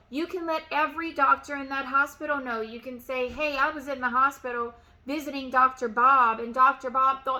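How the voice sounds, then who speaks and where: At a fairly quick pace, a woman raises and projects her high-pitched voice in a bright, sharp tone. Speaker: real estate agent and sales coach. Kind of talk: motivational tutorial. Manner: loud.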